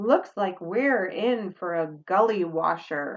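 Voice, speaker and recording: A woman's put-on character voice at medium pitch, with lively intonation and a fairly slow pace. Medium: read story. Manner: protective, urgent.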